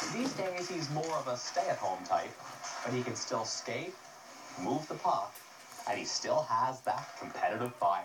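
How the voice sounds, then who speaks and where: With noticeable background noise, a man talks at a fairly slow pace with long, frequent pauses. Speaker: TV news reporter. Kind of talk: TV news report.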